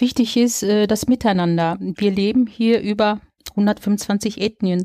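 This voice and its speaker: Very slowly, a woman speaks at a medium pitch with a dark, mellow tone and ordinary pitch variation. The sound is dry and close with no echo, in a very clean recording with a silent background. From Germany, Dortmund (Ruhr area). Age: 40s. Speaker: local election candidate and social worker. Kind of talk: interview. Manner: hesitant with fillers.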